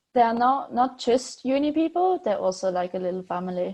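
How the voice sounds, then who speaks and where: Against a quiet background, a woman speaks with a German accent. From Switzerland. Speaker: PhD student. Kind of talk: interview. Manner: hesitant, many fillers.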